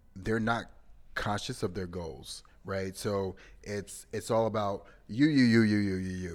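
A man talks fairly slowly with fairly even intonation in a fairly low pitch and a plain, everyday voice. The recording is very clean, with a silent background. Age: 30s. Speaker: podcast co-host. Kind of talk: casual chat.

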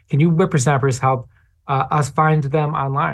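In a very clean recording with a silent background, a man speaks in a somewhat breathy voice. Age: 30s. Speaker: advocacy organizer. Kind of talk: interview.

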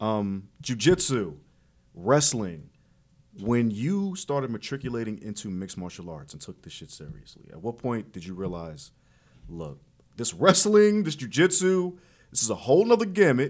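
Speaking with a New York accent, a man at medium pitch keeps a moderate pace while his pitch swings very widely and his loudness rises and falls sharply. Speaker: boxing and MMA podcast host. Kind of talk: casual interview, energetic banter. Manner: animated, loud, trash-talking.

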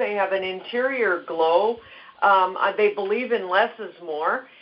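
A woman with a normal speaking voice talks at a fairly slow pace with lively intonation. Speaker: skincare educator. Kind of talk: interview.

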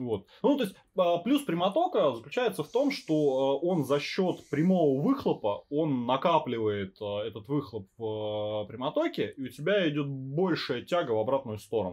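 A man talks at a fairly high pitch and a fairly slow pace. His pitch swings very widely. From Russian provinces. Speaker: podcast host. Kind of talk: casual chat with swearing. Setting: home recording on phone. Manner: casual, profane, fluent.

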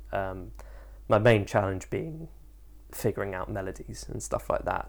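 The speaker is a man. He talks at a moderate pace. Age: 20s. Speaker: actor. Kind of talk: interview monologue.

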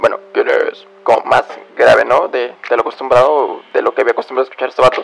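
There is noticeable background noise as a man speaks at a very fast pace. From Mexico. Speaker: podcaster. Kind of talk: casual monologue. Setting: bedroom at home.

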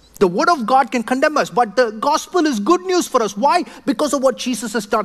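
This man speaks in a South Indian accent. His pitch is extremely high. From southern India; Chennai, India. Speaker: pastor. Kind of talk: sermon. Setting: church.

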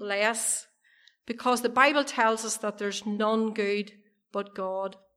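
A woman with a Monaghan accent and a bright, sharp tone. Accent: Irish (Ulster border, Monaghan). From Ireland, County Monaghan. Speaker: evangelist giving testimony. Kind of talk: testimony. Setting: church meeting with audience.

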